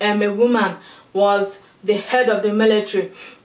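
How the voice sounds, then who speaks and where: The speaker is a woman with a fairly high pitch. She talks at a moderate pace against noticeable background noise. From Nigeria. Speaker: YouTube movie reviewer. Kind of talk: casual vlog review. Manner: hesitant, many filler words.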